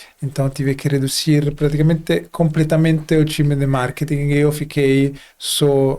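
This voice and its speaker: A man with a dark, mellow tone, fairly high pitch, monotone, flat intonation and a fairly slow pace. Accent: non-native. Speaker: company CEO, podcast host. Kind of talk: casual podcast conversation.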